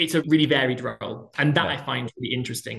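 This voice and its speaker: A man talks very fast with fairly even intonation. Noticeable background noise runs underneath. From southwest England, Plymouth. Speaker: theatre director. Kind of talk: interview.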